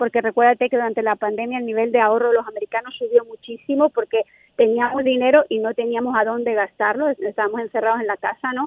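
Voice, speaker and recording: A woman's high voice at a very fast pace, with fairly even intonation. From Spain. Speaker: economics professor. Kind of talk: casual interview.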